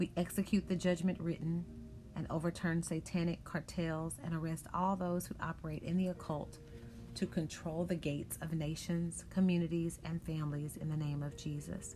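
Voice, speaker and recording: A woman speaks at a moderate pace in a fairly low, dark, mellow tone, somewhat breathy and monotone with flat intonation. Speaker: prayer broadcast host. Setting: online worship broadcast. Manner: forceful, authoritative, emphatic; fervent, rhythmic, declarative.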